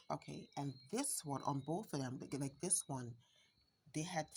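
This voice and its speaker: This woman has a very deep, low pitch and sounds somewhat breathy. She speaks slowly-ish, at a fairly slow pace, in an American accent. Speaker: home gardener, channel owner. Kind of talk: garden tour vlog. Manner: casual, hesitant with fillers.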